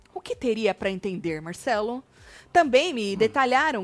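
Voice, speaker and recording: Recorded with a dry, close sound and no echo, a woman with a fairly high pitch and lively intonation has an ordinary speaking voice. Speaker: gossip YouTuber. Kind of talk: casual chat; reading aloud. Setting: live stream.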